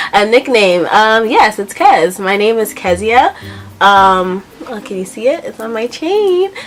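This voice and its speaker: A woman with a New York accent, fairly high pitch, lively intonation and a fairly slow pace, with big swings in loudness and noticeable background noise. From Brooklyn, New York. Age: 20s. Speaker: beauty vlogger. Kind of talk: casual vlog Q&A.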